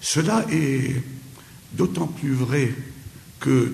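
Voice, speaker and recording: Medium-pitched male speech against audible echo from the room. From Syria. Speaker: lecturer. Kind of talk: lecture. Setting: conference hall with audience. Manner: hesitant, many filler pauses.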